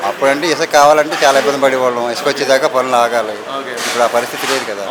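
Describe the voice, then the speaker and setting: Through noticeable background noise, a man talks at a medium pitch with fairly even intonation. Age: 70s. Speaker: mason. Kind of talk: interview answer.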